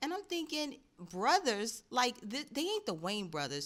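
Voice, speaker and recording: Speaking at a moderate pace in a New York accent, a woman with a high pitch uses an animated tone and very wide pitch swings. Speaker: commentary vlogger. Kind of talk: casual commentary.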